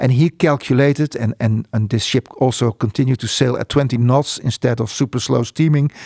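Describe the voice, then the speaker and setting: A man with a Dutch accent talks at a fairly quick pace in a medium pitch, with fairly even intonation, hardly any pauses and a dry, close sound with no echo. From Netherlands, Spijkenisse near Rotterdam. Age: 60s. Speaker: port economist. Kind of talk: interview. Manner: halting.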